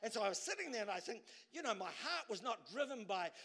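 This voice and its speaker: A man speaks in a raised, projected voice with a bright, sharp tone. He races at a very fast pace, his pitch swinging very widely. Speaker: preacher. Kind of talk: sermon. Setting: church.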